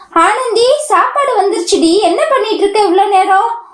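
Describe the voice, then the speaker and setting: A woman's put-on, squeaky character voice at an extremely high pitch, with ordinary pitch variation, a moderate pace and audible echo. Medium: read story. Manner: teasing, affectionate.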